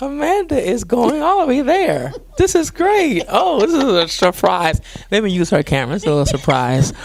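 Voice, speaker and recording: A man talks in a Geechee accent at an extremely high pitch, with very wide pitch swings. His pace is moderate, and background noise is noticeable. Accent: Geechee speech. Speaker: pastor. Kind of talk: interview. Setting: studio.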